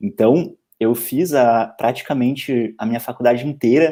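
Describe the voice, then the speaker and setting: The speaker has a Porto Alegre accent and a moderate pace. Pitch variation is ordinary. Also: man. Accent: Porto Alegre (gaúcho) accent, noticeable. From southern Brazil, Porto Alegre. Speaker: law lecturer and civil servant. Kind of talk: casual interview chat on a live stream. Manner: halting, with frequent repetitions.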